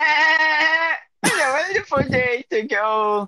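A put-on character voice pitched high.

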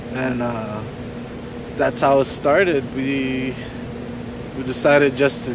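Over noticeable background noise and audible room echo, a man of medium pitch talks at a very slow pace with fairly even intonation and long, frequent pauses. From New Jersey. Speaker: amateur track cyclist. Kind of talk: casual chat. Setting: outdoors.

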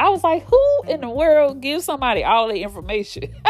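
Someone with an American accent speaks against noticeable background noise. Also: woman. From Texas, Fort Worth. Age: 40s. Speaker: podcast host. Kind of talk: personal storytelling monologue.

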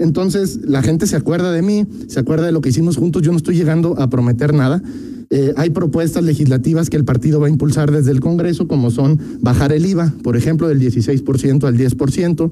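Here is a man with a normal speaking voice and a fairly high pitch. He talks at a fairly quick pace with ordinary pitch variation and very even loudness. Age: 30s. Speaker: politician, congressional candidate. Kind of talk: radio interview.

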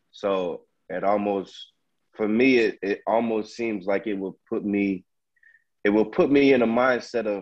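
A man's fairly low-pitched voice with fairly even intonation. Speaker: friend joining the conversation.

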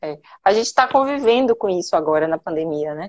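A woman talks with ordinary pitch variation. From Bahia, Brazil. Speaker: lawyer. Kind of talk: live interview.

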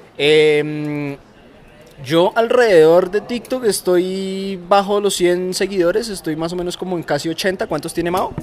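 A man talks at a fairly slow pace in a high pitch with ordinary pitch variation. Noticeable background noise is present. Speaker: podcast host. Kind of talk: casual chat. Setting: outdoors, drinking beer with friends.

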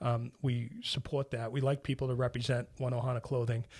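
With a Boston accent, the voice is somewhat breathy and monotone, flat in intonation, moving at a fairly quick pace in a very clean recording with a silent background. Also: man. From Boston, Hyde Park. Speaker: construction executive and charity founder. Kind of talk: interview.

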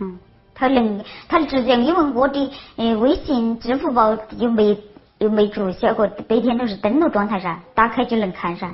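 A woman with a Sichuan accent speaks at a moderate pace with ordinary pitch variation over noticeable background noise. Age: 40s. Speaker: crime victim. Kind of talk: testimony. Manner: halting.

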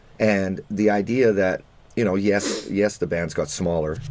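This man has a fairly low pitch, ordinary pitch variation, and a normal speaking voice. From Canada. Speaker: music podcast co-host. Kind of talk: casual chat.

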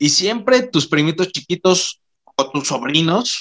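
In a Mexican accent, a man talks at a fairly slow pace with a bright, sharp tone. The sound is dry and close, with no echo. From Mexico. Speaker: podcast host. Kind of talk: casual chat.

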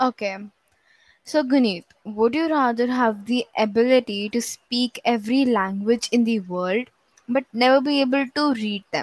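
A woman with a high pitch and ordinary pitch variation speaks at a fairly slow pace, and the sound is dry and close with no echo. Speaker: podcast co-host. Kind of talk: casual chat. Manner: animated.

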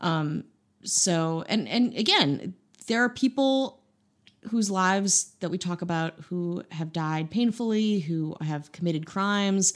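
In an ordinary speaking voice, a woman talks at a medium pitch and fairly slow pace with ordinary pitch variation, in a very clean recording with a silent background. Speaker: podcast co-host. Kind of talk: comedic banter.

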